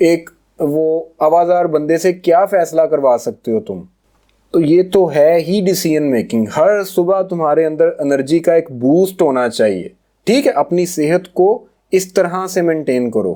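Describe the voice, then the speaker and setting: A man's dark, mellow tone at a high pitch, with ordinary pitch variation. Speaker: trading course teacher. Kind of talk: recorded course lecture. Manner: casual, with hesitations.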